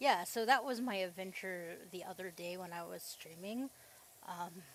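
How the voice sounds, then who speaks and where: This woman talks at a moderate pace and medium pitch with ordinary pitch variation. Her loudness swings widely. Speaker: gaming streamer. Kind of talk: casual chat. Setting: livestream.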